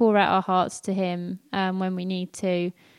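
A woman with a slight London accent, medium pitch and moderate pace, in a very clean, dry, close recording with a silent background and no echo. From North London. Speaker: church pastor's wife and emergency planner. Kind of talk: testimony.

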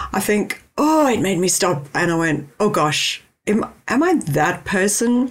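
A woman's warm-toned voice with lively intonation at a very slow pace. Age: 40s. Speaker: podcast host and brand strategist. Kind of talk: solo conversational podcast monologue. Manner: warm, chatty.

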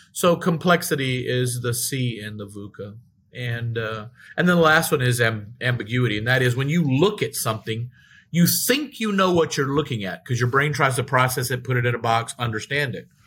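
On a very clean recording with a silent background, a man with an American accent talks at medium pitch and a moderate pace in a plain, everyday voice. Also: ordinary pitch variation. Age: 60s. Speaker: retired executive and professor. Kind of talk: casual interview conversation.

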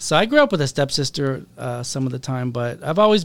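In a plain, everyday voice, a man talks at a fairly quick pace with ordinary pitch variation in a very clean recording with a silent background. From US Pacific Northwest, Seattle. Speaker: rabbi and therapist. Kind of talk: podcast interview.

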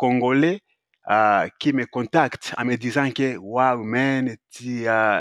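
A man's medium-pitched voice, dry and close with no echo, over a quiet background. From Congo. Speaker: actor and author. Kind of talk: interview. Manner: halting, many fillers.

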